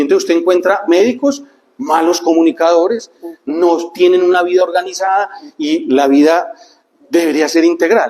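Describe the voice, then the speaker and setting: A man's voice sits high in pitch, with ordinary variation. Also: moderate pace. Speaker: speaker on neuroscience and life planning. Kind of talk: talk to a group.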